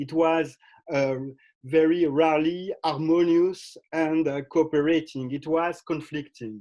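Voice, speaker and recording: A man with a fairly high pitch and a dark, mellow tone speaks at a fairly slow pace with fairly even intonation. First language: not English. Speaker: legal historian and sociologist. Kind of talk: academic presentation. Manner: halting, many fillers and restarts.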